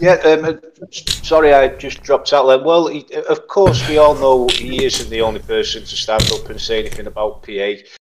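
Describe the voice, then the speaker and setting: A man's loudness swings a lot as he talks at a moderate pace over noticeable background noise. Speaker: co-host. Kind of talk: casual banter on a livestream.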